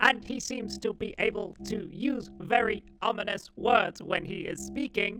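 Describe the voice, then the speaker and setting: Clear music plays in the background behind a put-on character voice with a fairly high pitch. The pace is moderate, with hardly any pauses. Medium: comedy sketch. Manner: stiff, monotone, arrogant.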